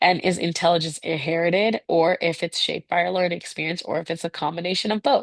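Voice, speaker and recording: A woman with a fairly low voice talks very fast, her intonation fairly even and her pauses nearly absent, in a dry, close recording with no echo over a quiet background. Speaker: teacher. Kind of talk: lecture.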